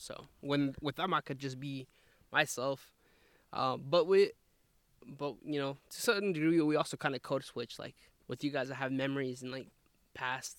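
A man's fairly high voice at a moderate pace, with long, frequent pauses, fairly even intonation and big swings in loudness, in a dry, close sound with no echo on a very clean recording with a silent background. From southern Idaho, US. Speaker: university staff and grad student. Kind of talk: casual chat. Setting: outdoors in a forest.

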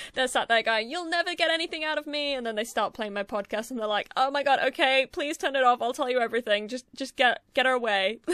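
In a dry, close sound with no echo, a woman speaks very fast in a bright, sharp tone, high-pitched and with ordinary pitch variation. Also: hardly any pauses. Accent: strong Yorkshire. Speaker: podcast host. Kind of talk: casual solo podcast chat. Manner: talkative, fast.

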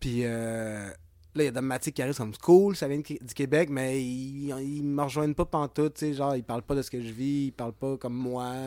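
At a moderate pace, a man with a medium pitch speaks in a dark, mellow tone and fairly even intonation. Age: 40s. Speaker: clothing brand co-founder. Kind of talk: casual interview chat. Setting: music rehearsal studio.

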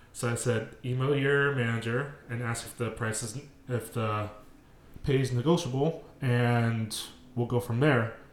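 Fairly even intonation in a man's unremarkable speaking voice of medium pitch. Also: fairly slow pace. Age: 20s. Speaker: podcast co-host. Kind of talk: casual chat.

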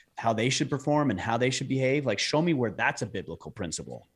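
A man with a plain, everyday voice speaks at a medium pitch in an American accent with ordinary pitch variation, on a very clean recording with a silent background. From southern Utah. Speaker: podcast host on manhood, hunter. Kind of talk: interview conversation.

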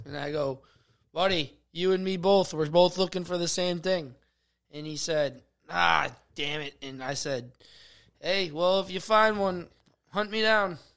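On a very clean recording with a silent background, a man with a high pitch uses ordinary pitch variation and leaves long, frequent pauses. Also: fairly slow pace. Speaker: podcast host. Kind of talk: casual banter. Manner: joking, interrupting.

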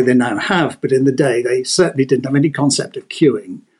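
A man with a southern English accent at a fairly quick pace. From England, Devon (Exeter). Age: 70s. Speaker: author. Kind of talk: casual chat.

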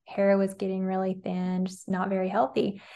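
This woman has a Southern US accent and a medium pitch. The background is quiet. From Alabama, US South. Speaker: nutrition coach. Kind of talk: casual interview chat.

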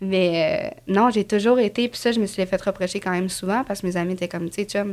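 At a fairly quick pace, a woman speaks. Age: 20s. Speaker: construction painter and TikTok creator. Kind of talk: casual interview chat.

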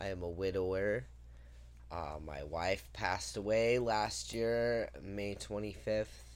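Very slow speech with very wide pitch swings in audible room echo. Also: man, very deep, low pitch for a man. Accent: American. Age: 30s. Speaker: podcast co-host. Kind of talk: casual chat.

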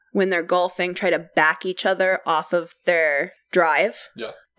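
A woman with a medium pitch speaks in an animated tone. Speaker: podcast co-host. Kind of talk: casual chat. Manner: animated, joking.

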